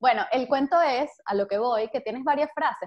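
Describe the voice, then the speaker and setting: A woman speaks with lively intonation. Her pace is fairly quick. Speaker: podcast host. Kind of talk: interview. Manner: hesitant, many fillers.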